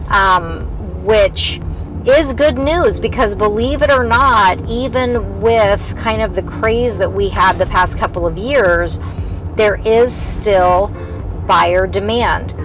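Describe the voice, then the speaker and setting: Very slow speech in a dry sound with no echo, over noticeable background noise. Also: woman. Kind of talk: casual tour commentary. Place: car.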